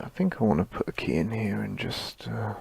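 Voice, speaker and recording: A man mumbles at a fairly slow pace. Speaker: animator streaming his work. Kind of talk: live stream tutorial-style work commentary. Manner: mumbling.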